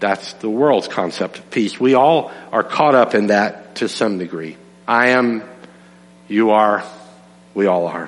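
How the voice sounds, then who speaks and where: Over noticeable background noise, the speaker goes at a fairly slow pace with ordinary pitch variation and long, frequent pauses. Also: man, fairly low pitch for a man. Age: 60s. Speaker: pastor. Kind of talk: sermon.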